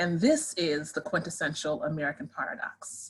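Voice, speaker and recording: A woman speaking at a fairly quick pace. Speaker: sociology professor. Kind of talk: lecture. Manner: fast.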